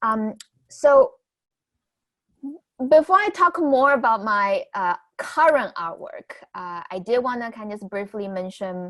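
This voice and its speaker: A woman with a Chinese accent and a fairly high pitch, very wide pitch swings, big swings in loudness, a fairly slow pace and long, frequent pauses. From southwest China, Guizhou, Guiyang. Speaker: new media artist and educator. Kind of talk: artist talk. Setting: virtual event video call. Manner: halting, many fillers.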